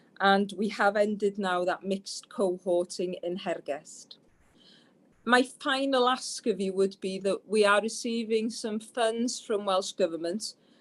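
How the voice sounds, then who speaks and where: Fairly slow and at medium pitch, a woman speaks in an ordinary speaking voice with ordinary pitch variation. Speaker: health board executive. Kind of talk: presentation at board meeting.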